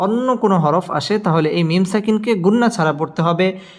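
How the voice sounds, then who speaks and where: A man's pitch varies in an ordinary way as he talks over noticeable background noise. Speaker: Quran teacher. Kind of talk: tutorial.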